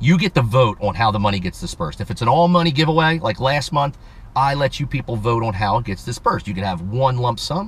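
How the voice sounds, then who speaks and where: A very fast, animated male voice, somewhat breathy, at medium pitch with lively intonation. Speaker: automotive YouTuber. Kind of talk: casual vlog, giveaway announcement.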